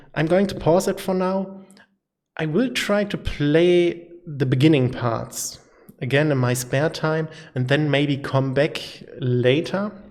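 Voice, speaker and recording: A man with a German accent talks at a very slow pace. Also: fairly high pitch for a man, ordinary pitch variation. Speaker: gaming YouTuber. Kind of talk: casual channel update monologue. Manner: halting, many fillers.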